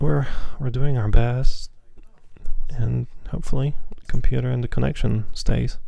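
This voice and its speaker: A man speaks quietly at a moderate pace in a relaxed tone, with long, frequent pauses. His loudness swings widely. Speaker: flight sim streamer. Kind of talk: live stream commentary. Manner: quiet, hushed; relaxed, casual.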